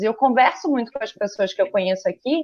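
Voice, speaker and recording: This woman has an unremarkable speaking voice, pitched fairly high, with lively intonation. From Rio de Janeiro, Brazil. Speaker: photographer and communications professional. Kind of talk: interview.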